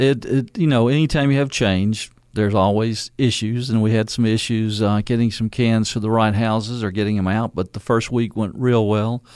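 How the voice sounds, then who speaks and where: A Louisiana accent at a moderate pace, with fairly even intonation, hardly any pauses, and a very clean recording over a silent background. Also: man, medium pitch for a man. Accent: Louisiana Southern. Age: 60s. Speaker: mayor. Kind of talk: radio interview. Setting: studio.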